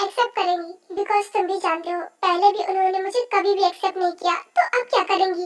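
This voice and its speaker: The voice is a squeaky, put-on character voice. It moves at a fairly quick pace. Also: woman. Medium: fan dub. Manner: soft, hesitant.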